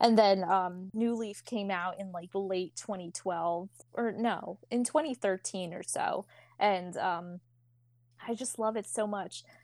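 A woman with an American accent speaks at a fairly slow pace in a plain, everyday voice, her medium pitch showing ordinary pitch variation. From Philadelphia. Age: 20s. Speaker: college student. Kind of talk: casual chat.

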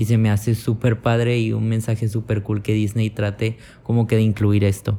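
The voice has a dark, mellow tone, is somewhat breathy and comes in a Mexican accent. It moves at a moderate pace in a flat monotone with very even loudness. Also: man, fairly low pitch for a man. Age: 20s. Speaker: podcaster. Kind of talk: casual monologue.

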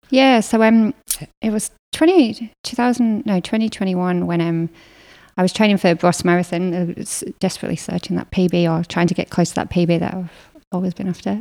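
On a very clean recording with a silent background, a woman with a northern English accent speaks at a moderate pace in a dark, mellow tone with ordinary pitch variation. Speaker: marathon runner and business co-founder. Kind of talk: casual interview chat.

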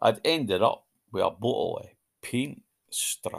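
Against a quiet background, the voice reads in an unforced way.

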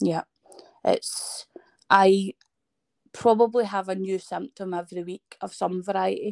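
In a Scottish accent, the speaker talks at a fairly slow pace with fairly even intonation, long, frequent pauses and big swings in loudness, in a dry, close sound with no echo. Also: woman, medium pitch for a woman. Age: 30s. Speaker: person living with a chronic illness. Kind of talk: casual interview. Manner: sometimes stutters.

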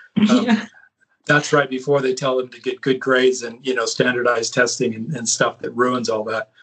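A man with a West Coast American accent talks at a fairly quick pace. His loudness swings a great deal. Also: medium pitch for a man, ordinary pitch variation. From US West Coast, California. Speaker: author and speaker. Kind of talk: casual chat.

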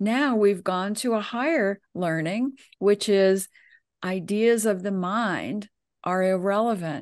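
Against a quiet background, a woman with a medium pitch speaks at a very slow pace, her pitch varying in an ordinary way. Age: 70s. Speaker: intuitive coach and numerologist. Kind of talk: casual chat.

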